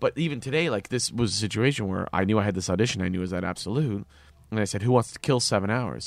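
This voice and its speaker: A man with a Canadian accent, fairly low in pitch with ordinary pitch variation, at a very fast pace, in a very clean recording with a silent background. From Canada. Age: 20s. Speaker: actor and comedian. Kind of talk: casual interview.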